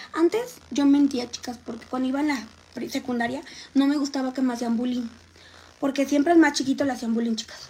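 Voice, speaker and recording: Talking at a fairly quick pace, a woman with a Mexican accent has a high-pitched voice. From Mexico, Xalapa, Veracruz. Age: 20s. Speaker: livestreamer, makeup vlogger. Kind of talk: casual livestream chat. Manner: animated.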